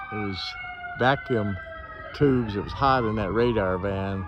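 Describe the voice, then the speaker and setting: With an American accent, a man talks at a fairly slow pace amid audible room echo and noticeable background noise. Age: 80s+. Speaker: army veteran, hospital patient. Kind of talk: casual vlog commentary. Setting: outdoors at hospital. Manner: halting, repetitive.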